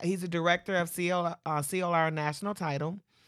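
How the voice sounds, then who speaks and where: On a very clean recording with a silent background, a woman with an American accent speaks at a moderate pace in an unremarkable speaking voice with a fairly low pitch. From Michigan. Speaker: real estate agent and podcast co-host. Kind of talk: casual chat.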